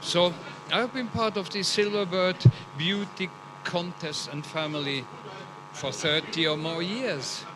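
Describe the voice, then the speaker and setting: A man's high-pitched voice at a fairly slow pace, with long, frequent pauses and noticeable background noise. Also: ordinary pitch variation. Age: 70s. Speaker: guest at pageant. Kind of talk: red carpet interview. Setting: red carpet at live event.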